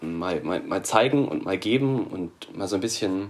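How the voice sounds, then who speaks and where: Speaking at a moderate pace, a man with a fairly low pitch uses ordinary pitch variation. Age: 20s. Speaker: scout volunteer. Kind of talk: podcast interview. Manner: hesitant, many fillers.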